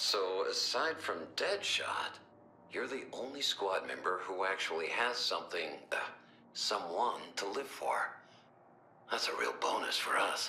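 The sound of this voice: A man puts on a character voice with a low pitch and a bright, sharp tone. He speaks at a fairly slow pace with big pitch swings.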